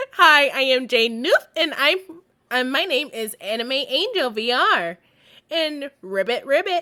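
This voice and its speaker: Here a woman uses a put-on character voice at a high pitch. Her pace is fairly slow. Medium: actual play. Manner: playful.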